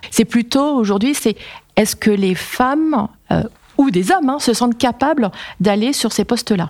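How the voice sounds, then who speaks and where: Noticeable background noise sits behind the speaker. A woman talks at a moderate pace with lively intonation. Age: 40s. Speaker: engineering company executive. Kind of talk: casual interview, Q&A with students.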